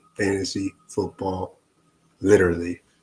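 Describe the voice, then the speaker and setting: In a fairly low, somewhat breathy voice, a man talks at a fairly slow pace with monotone, flat intonation. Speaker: fantasy football streamer. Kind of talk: casual live stream chat. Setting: live stream with background music. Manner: laid-back, chill. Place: home room.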